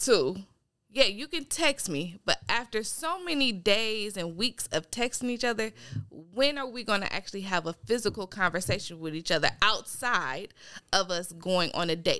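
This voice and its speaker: Woman's voice with a bright, sharp tone, very wide pitch swings and moderate pace. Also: medium pitch for a woman. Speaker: guest. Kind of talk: casual chat. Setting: remote call.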